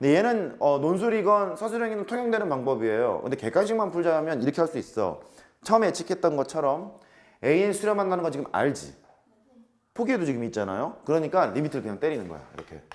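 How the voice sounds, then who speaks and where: A man talks at a very fast pace. His fairly high voice makes very wide pitch swings. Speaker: math teacher. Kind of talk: lecture.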